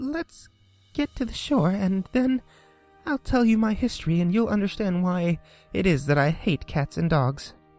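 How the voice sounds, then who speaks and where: A man puts on a shaky character voice pitched high. He speaks at a moderate pace over faint background music. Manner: pale with passion, upset.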